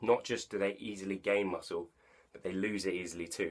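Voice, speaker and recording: This man talks at a fairly quick pace with an English accent. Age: young. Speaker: online personal trainer. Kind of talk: casual talk to camera.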